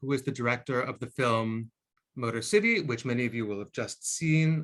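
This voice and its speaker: In a normal speaking voice, the speaker moves at a moderate pace with ordinary pitch variation. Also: man, medium pitch for a man. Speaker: film program curator. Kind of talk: interview host.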